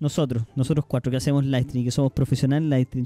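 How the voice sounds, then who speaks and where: A man's dark, mellow tone comes through dry and close with no echo, on a very clean recording with a silent background. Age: 30s. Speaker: streamer and podcast host. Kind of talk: casual chat.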